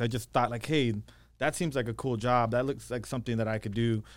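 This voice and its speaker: In a very clean recording with a silent background, a man talks at a medium pitch with ordinary pitch variation in an ordinary speaking voice. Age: 40s. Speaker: real estate investor and coach. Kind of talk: casual interview chat.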